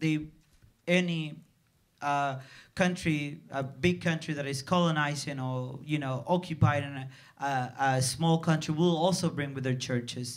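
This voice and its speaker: The speaker talks at a fairly slow pace in a Spanish accent. The intonation is fairly even. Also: man. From Dominican Republic. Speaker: film director. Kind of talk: festival Q&A. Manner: halting, many repetitions.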